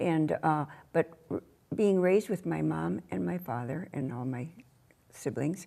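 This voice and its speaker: In an American accent, a woman with vocal fry and a dark, mellow tone speaks at a very deep, low pitch and a fairly slow pace, with very wide pitch swings and long, frequent pauses. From Minnesota, US (born on an Ojibwe reservation). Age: 80s+. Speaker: community elder and activist. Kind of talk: interview. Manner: halting.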